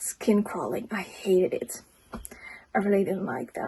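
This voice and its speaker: A woman speaks fairly slowly with a non-native accent and a dark, mellow tone. Vocal fry runs through her voice. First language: not English. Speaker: book reviewer, friend of the host. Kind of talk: casual book review.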